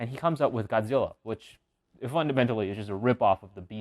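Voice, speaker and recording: Very fast delivery with ordinary pitch variation and a dry, close sound free of echo. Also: man. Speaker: video essayist. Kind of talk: casual commentary video. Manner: filler-heavy, unscripted.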